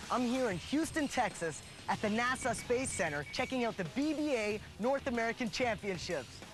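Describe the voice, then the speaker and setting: Over music in the background, a man talks at a moderate pace in an upbeat tone with an extremely high pitch. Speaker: voice actor. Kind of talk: TV show host segment.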